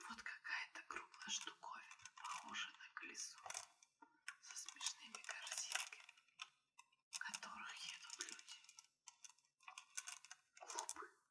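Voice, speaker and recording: A woman whispers at a very slow pace in a soothing tone. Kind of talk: ASMR whispered bedtime story reading. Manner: whispered, soothing.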